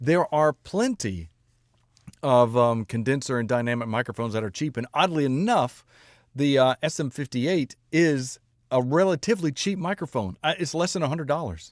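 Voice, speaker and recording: On a very clean recording with a silent background, a man speaks at a fairly high pitch with lively intonation. His moderate-paced delivery has a dry, close sound with no echo. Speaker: music reaction streamer. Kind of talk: casual live-stream chat. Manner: speaks higher than natural pitch.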